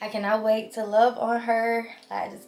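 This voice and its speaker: A woman talks with a fairly high pitch. Background music can be heard. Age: 20s. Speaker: vlogger. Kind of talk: casual chat.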